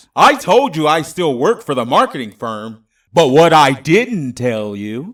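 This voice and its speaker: On a very clean recording with a silent background, a man puts on a character voice. He speaks at a fairly slow pace with fairly high pitch. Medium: read story. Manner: smug, taunting.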